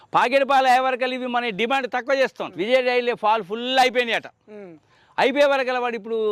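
Recorded very cleanly against a silent background, with a dry, close sound and no echo, a man with a rural Telangana accent speaks at an extremely high pitch, with fairly even intonation and big swings in loudness. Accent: rural Telangana Telugu dialect. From Telangana, Kamareddy district. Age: 60s. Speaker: dairy farmer. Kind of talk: interview.

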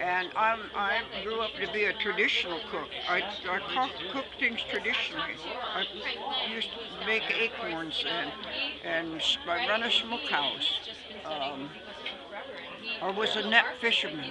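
A woman with an American accent speaks with long, frequent pauses against loud background noise. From Oregon, USA. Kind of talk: interview answer. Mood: calm reminiscing. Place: tent. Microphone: phone near.

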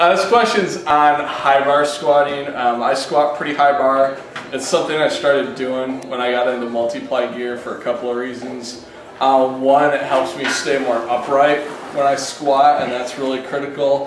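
In a room with audible echo and light background noise, a man talks at a moderate pace with ordinary pitch variation. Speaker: powerlifting coach. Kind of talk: tutorial. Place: gym. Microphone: camera far.

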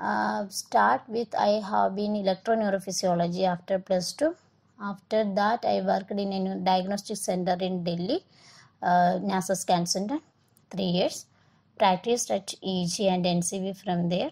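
A woman's somewhat breathy voice at a medium pitch, fairly slow, with ordinary pitch variation. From India, Kerala. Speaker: neurotechnician. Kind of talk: self-introduction. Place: hall.

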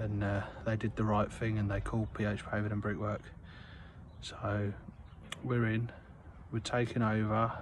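A man speaks at a moderate pace with a fairly low, somewhat breathy voice, monotone and flat intonation, and very even loudness. The sound is dry with no echo, with light background noise. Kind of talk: casual vlog chat. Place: street. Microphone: phone near.

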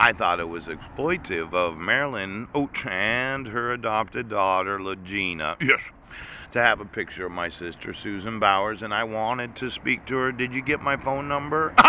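A man speaks at a moderate pace in a fairly low pitch. The sound is dry with no echo, with light background noise. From United States. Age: 40s. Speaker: vlogger. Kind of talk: monologue rant. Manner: laughing often; rambling with interjections. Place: street. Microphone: phone near.

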